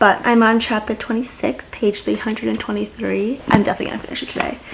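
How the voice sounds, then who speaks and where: Through noticeable background noise, a woman talks at a very fast pace. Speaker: booktuber. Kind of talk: reading vlog, casual chat to camera. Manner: animated.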